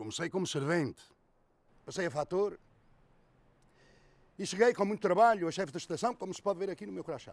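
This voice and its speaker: At a fairly quick pace, the speech has lively intonation, big swings in loudness, and long, frequent pauses. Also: man, high pitch for a man. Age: 60s. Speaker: retired railway station master. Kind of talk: testimony.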